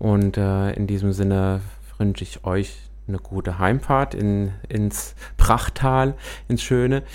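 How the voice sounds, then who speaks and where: A fairly low-pitched man at a very slow pace, with fairly even intonation. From Hesse, Büdingen area. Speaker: radio host. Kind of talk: talk radio interview. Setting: studio.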